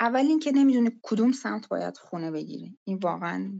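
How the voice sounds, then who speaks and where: At a moderate pace, a woman speaks with an Azerbaijani accent. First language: Azerbaijani (speaking Persian). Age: 30s. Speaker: UI/UX and mobile game designer. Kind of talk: casual interview. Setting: online call from laptop. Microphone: connection dropouts.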